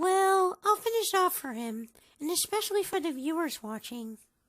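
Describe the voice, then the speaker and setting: The voice reaches an extremely high pitch and sounds squeaky. It is a put-on character voice. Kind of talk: fan voice acting. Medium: machinima.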